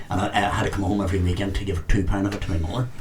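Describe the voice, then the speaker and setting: Over noticeable background noise and audible room echo, a man with a fairly low pitch talks very fast. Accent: Northern Irish. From Northern Ireland, Omagh, County Tyrone. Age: 70s. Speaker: retired barman, golf club president. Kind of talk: casual interview.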